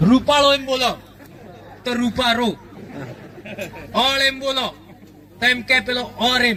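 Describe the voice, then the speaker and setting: In a western Indian accent, a man projects a raised voice at an extremely high pitch, with fairly even intonation, long, frequent pauses and noticeable background noise. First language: Bhili (speaking Hindi). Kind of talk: public speech. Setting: stage with large audience.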